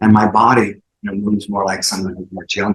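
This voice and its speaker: This is a man speaking. His pitch is fairly low. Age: 60s. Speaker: fitness founder and former acrobat. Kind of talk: interview. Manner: fast; animated.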